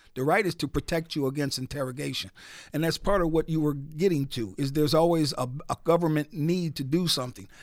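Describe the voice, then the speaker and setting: A man with a fairly high voice and ordinary pitch variation, speaking very fast on a very clean recording with a silent background. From US Northeast, Newark, New Jersey. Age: 60s. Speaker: radio DJ and attorney. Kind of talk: radio interview.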